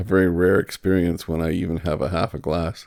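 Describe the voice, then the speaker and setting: A man talks in a very deep, low pitch with a dark, mellow tone. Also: very clean recording, silent background. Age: 60s. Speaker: artist and painter. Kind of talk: casual monologue. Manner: halting, with repeated words.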